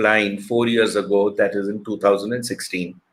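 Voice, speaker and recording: Speaking at a moderate pace, this man has a medium pitch and a plain, everyday voice. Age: 60s. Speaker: motivational speaker. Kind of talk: motivational talk.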